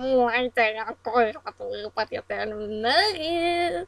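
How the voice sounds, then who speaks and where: A female-sounding voice puts on a character. The pitch is high. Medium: fan dub. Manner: pedantic, over-explaining.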